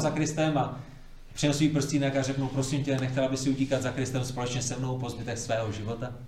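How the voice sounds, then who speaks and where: A man talks at a very fast pace in a fairly high voice with fairly even intonation. Audible room echo and noticeable background noise surround him. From Prague, Czechia. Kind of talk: church seminar talk.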